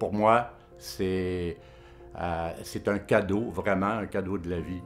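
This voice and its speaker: Music plays in the background behind a man. His pace is very slow and his pitch variation ordinary. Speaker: father of a son with schizophrenia. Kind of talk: testimonial interview answer. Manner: emotional, hesitant.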